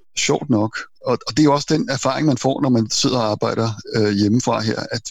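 Somewhat breathy, a man speaks at medium pitch with fairly even intonation. His pace is fairly quick. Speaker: self-employed programmer and IT journalist. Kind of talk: casual interview.

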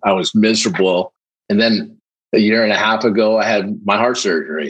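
With an unremarkable speaking voice, a man talks at a moderate pace in a fairly low pitch with lively intonation. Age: 50s. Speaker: recovering alcoholic, salesperson. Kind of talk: interview, personal testimony.

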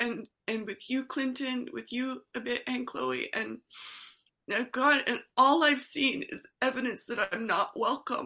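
A woman projects a raised voice with a bright, sharp tone at a high pitch. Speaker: study group participant and practice space holder. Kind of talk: sharing in online group discussion. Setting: video call.

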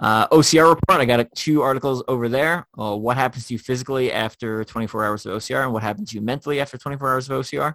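A man with a New York accent talks at a very fast pace, with hardly any pauses, at a medium pitch. His pitch varies in an ordinary way, and the sound is dry and close with no echo. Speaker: podcast host and obstacle racer. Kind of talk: casual interview chat. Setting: remote online call.

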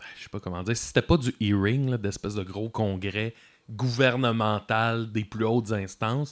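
This man has an unremarkable speaking voice at medium pitch, with fairly even intonation and a fairly slow pace. The recording is very clean, with a silent background. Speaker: musician filling in as co-host. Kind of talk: casual chat.

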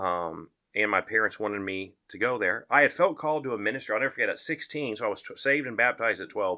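On a very clean recording with a silent background, a man at a medium pitch talks very fast with hardly any pauses, a bright, sharp tone and lively intonation. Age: 40s. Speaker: chaplain. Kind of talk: testimony.

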